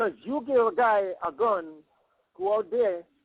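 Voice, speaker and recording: A man talks in a Jamaican accent, his pitch high. His intonation rises and falls in an ordinary way. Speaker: caller. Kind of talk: phone interview. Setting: phone call. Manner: animated.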